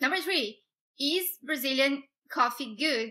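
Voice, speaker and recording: A woman's raised, projected voice at a high pitch. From Brazil, Minas Gerais. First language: Portuguese. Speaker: YouTuber. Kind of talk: casual vlog talk. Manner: halting, many fillers.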